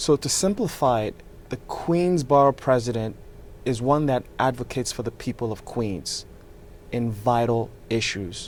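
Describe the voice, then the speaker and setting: At a moderate pace, a man with a Nigerian accent speaks at a medium pitch with ordinary pitch variation. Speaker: real estate developer and political candidate. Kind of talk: interview.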